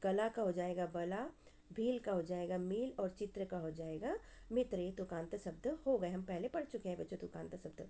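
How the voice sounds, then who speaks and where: This woman talks at a fairly slow pace in a dark, mellow tone. Her pitch rises and falls by an ordinary amount. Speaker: school teacher. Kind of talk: tutorial. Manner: slow, instructive.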